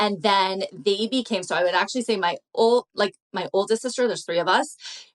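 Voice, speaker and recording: A woman's plain, everyday voice in a Canadian accent, medium pitch, ordinary pitch variation, fairly quick pace. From Canada, Toronto. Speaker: social media creator. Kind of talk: casual chat.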